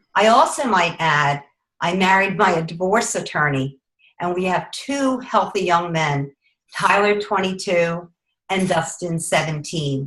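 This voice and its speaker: A woman speaks with a normal speaking voice, fairly low in pitch, with ordinary pitch variation and a fairly slow pace. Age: 50s. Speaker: network marketing representative. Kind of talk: testimony. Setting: video call.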